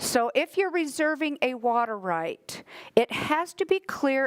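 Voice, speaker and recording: Loud and high-pitched, a woman speaks at a fairly slow pace with very wide pitch swings. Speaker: water rights agency staff trainer. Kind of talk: training lecture. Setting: training class with mic.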